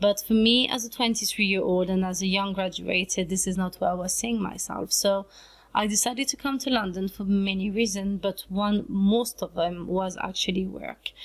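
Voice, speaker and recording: On a very clean recording with a silent background, a woman with a French accent speaks at a moderate pace, her medium-pitched voice somewhat breathy with fairly even intonation. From France, French Riviera, Italian family. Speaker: YouTuber, vlogger. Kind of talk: casual vlog talk to camera.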